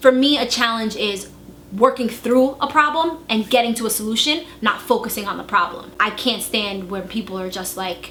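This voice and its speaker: A woman speaks with an American accent at a fairly high pitch. Her loudness swings widely over noticeable background noise. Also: ordinary pitch variation, moderate pace. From New York City. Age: 20s. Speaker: marketing professional. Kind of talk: casting video interview.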